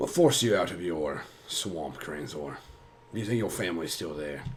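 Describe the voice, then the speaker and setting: A man's put-on character voice, raspy and very deep in pitch, at a moderate pace with big swings in loudness over clear background noise. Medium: actual play. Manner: reserved, guarded.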